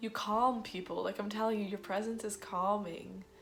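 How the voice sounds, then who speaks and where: With audible room echo, a woman talks at a moderate pace with ordinary pitch variation. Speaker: tarot card reader. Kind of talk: tarot reading. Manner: casual, filler-heavy.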